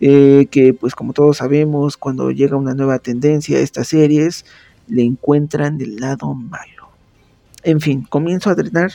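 In a central Mexican accent, the speaker talks at a moderate pace with a dark, mellow tone. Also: man, dry, close sound with no echo. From Mexico, Pachuca, Hidalgo. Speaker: podcast host and writer. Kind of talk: tutorial. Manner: casual with frequent fillers.

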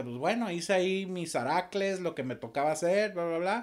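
Noticeable background noise accompanies a man speaking at a moderate pace in a fairly high pitch. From Torreón, Coahuila, northern Mexico. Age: 40s. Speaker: musician and audiovisual producer. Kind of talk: casual interview.

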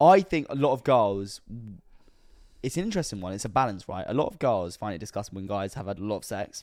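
Very fast speech in a British accent, with lively intonation and a very clean recording over a silent background. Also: man, fairly low pitch for a man. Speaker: podcast host. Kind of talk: casual chat.

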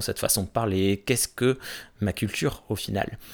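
A man speaking at a fairly slow pace. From Gascony, southwest France (Gers). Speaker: podcast host. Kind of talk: casual chat. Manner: halting, many hesitations.

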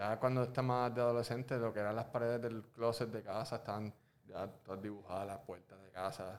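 A man with a normal speaking voice talks at a medium pitch and a fairly quick pace. His intonation is fairly even, but his loudness swings widely. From Puerto Rico. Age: 30s. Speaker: visual artist and muralist. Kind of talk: casual interview. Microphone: muffled by face mask.

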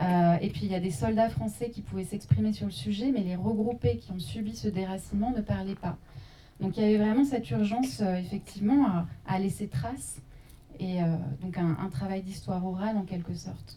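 A woman has an unremarkable speaking voice at medium pitch. She talks at a moderate pace with lively intonation. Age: young. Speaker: journalist and documentary maker. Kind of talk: post-screening panel discussion.

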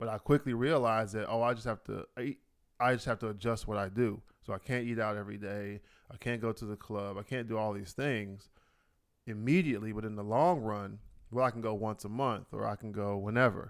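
A man's fairly low voice at a fairly quick pace, on a very clean recording with a silent background. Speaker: podcast co-host. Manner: loud, passionate; excitable.

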